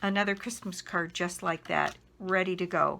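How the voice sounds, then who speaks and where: A woman's voice has a bright, sharp tone in a very clean recording with a silent background. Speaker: stamping demonstrator and crafter. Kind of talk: craft tutorial. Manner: casual, with fillers.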